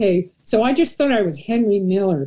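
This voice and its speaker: Over a quiet background, a somewhat breathy voice with a dark, mellow tone speaks at a fairly slow pace with lively intonation. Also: woman. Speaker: panelist. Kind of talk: panel discussion storytelling. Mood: wry, humorous self-deprecation. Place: home room. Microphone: video call.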